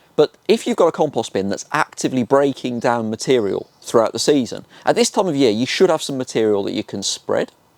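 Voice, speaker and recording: An enthusiastic man with a Birmingham accent, medium pitch and lively intonation, fairly quick, in a dry, close sound with no echo. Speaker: gardening youtuber. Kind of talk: tutorial.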